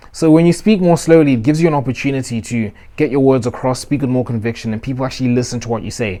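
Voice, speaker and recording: With a dark, mellow tone, a man talks at a very fast pace. His pitch is medium, with ordinary pitch variation. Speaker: self-improvement youtuber. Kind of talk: motivational advice talk. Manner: uses filler words.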